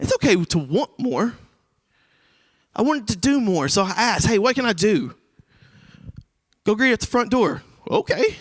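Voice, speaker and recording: A loud voice with long, frequent pauses comes through on a very clean recording with a silent background. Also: man, extremely high pitch for a man, moderate pace. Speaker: recovery ministry leader. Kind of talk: sermon. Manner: casual.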